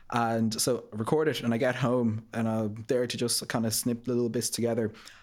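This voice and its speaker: A man's flat, monotone delivery in an Irish accent, on a very clean recording with a silent background. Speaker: marketing graduate trainee. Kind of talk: podcast interview. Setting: studio.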